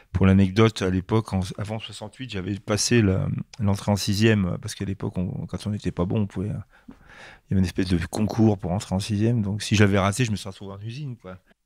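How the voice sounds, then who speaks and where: A man talks at a very fast pace with a fairly low pitch and fairly even intonation. His loudness swings widely. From France, Grenoble. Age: 60s. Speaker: comic book artist. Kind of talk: interview. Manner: halting, many hesitations.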